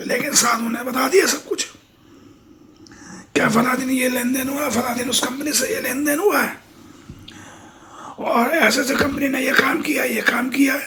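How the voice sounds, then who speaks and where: A man's raised, projected put-on character voice, extremely high-pitched and raspy, at a moderate pace with long, frequent pauses and audible echo. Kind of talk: folksy spoken moral tale. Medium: read story. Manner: conversational, repetitive, colloquial.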